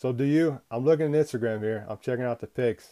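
A man speaks at a fairly quick pace with a medium pitch, ordinary pitch variation and a dark, mellow tone, in a dry, close sound with no echo. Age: 40s. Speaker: podcast host. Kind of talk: casual interview.

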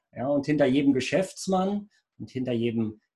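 With a touch of breathiness, the speaker's intonation stays lively. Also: man. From Lower Rhine region, Germany (Rheinberg). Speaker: IT entrepreneur. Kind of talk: business interview.

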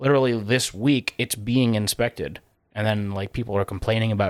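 Using a normal speaking voice, a man talks at a fairly quick pace and medium pitch with fairly even intonation, in a very clean recording with a silent background and a dry, close sound with no echo. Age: 30s. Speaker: podcast co-host. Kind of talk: casual chat. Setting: studio.

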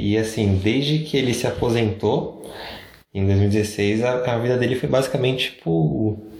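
Noticeable background noise and audible room echo surround the recording. A man speaks at a fairly low pitch with lively intonation. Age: 20s. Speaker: podcast co-host. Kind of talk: casual chat.

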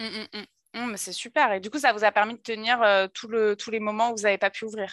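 A woman speaks fairly quickly at a fairly high pitch, with monotone, flat intonation and big swings in loudness. The recording is very clean and dry, close, with a silent background and no echo. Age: 30s. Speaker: podcast host. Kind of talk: casual interview chat.

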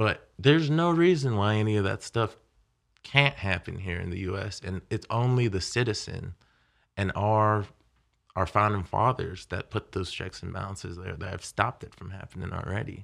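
A man with an American accent and a normal speaking voice talks at a moderate pace with fairly low pitch, lively intonation and big swings in loudness against a quiet background. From Haiti, then Florida and Maryland. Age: 20s. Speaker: podcast guest. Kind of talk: casual chat.

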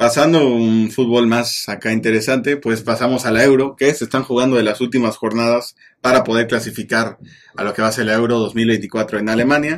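A man with a Mexican accent speaks quickly at a medium pitch, his intonation fairly even. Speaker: football podcast co-host. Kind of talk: casual chat.

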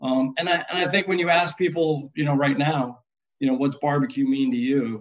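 A man speaks with an American accent at a fairly high pitch and a moderate pace. His pitch varies in an ordinary way, and his loudness stays very even. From US Northeast, upstate New York. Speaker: restaurant chain culinary executive. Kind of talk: interview. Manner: halting, many fillers.

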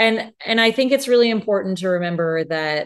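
A normal speaking voice at a moderate pace, with ordinary pitch variation and a quiet background. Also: woman. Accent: American. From United States. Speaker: podcast co-host. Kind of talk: casual chat.

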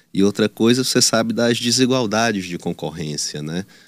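A normal speaking voice from a man at a moderate pace, ordinary pitch variation, dry and close with no echo, on a very clean recording with a silent background. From Teresina, Piauí, northeastern Brazil. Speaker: political candidate. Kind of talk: news interview.

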